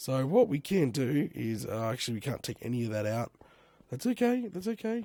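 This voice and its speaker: A man with an Australian accent, medium pitch, very wide pitch swings, a fairly quick pace and a dark, mellow tone. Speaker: Minecraft let's play creator. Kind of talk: casual gaming commentary.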